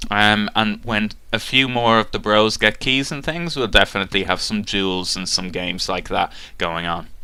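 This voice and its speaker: Recorded very cleanly against a silent background, a man speaks in a fairly low pitch with a bright, sharp tone and ordinary pitch variation. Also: moderate pace. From Ireland, south of Dublin. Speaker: gaming YouTuber. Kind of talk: casual talk to webcam, Q&A. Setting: webcam. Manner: hesitant, many fillers.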